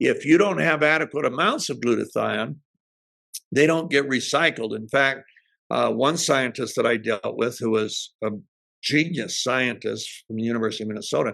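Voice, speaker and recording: This man has a bright, sharp tone, a medium pitch and some vocal fry. He speaks at a moderate pace with lively intonation. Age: 70s. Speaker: health product entrepreneur. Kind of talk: presentation. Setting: at home in the kitchen.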